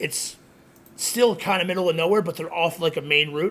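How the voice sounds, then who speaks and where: A man with an ordinary speaking voice, fairly high in pitch, moderately paced, his intonation fairly even. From Connecticut, US (born in Queens, New York). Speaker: social media creator, pizzeria manager. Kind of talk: casual chat.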